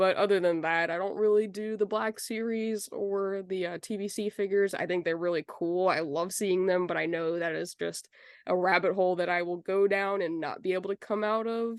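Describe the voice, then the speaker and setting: A woman with a plain, everyday voice talks at a fairly quick pace with hardly any pauses. Her medium-pitched delivery has fairly even intonation over a quiet background. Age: 20s. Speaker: collector. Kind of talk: interview.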